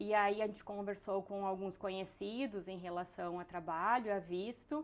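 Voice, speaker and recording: In a strong southern Brazilian accent, a woman speaks at a fairly slow pace. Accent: strong gaúcho (southern Brazilian). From southern Brazil, Rio Grande do Sul. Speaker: biologist turned entrepreneur, immigrant. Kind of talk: interview. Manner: halting, with fillers and repetitions.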